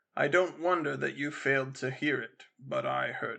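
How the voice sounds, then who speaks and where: Putting on a raspy character voice, a man speaks at a moderate pace with big swings in loudness. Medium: read story. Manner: earnest, anxious, pleading.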